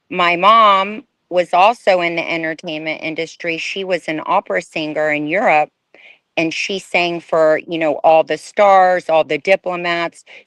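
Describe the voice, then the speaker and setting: A woman with an American accent has a plain, everyday voice, fairly low in pitch with ordinary pitch variation, at a fairly slow pace. The sound is dry and close with no echo, over a quiet background. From Houston, Texas. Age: young. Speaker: former fashion model. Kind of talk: interview testimony.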